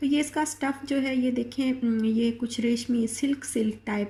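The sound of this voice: Fairly even intonation runs through a dark, mellow tone. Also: woman.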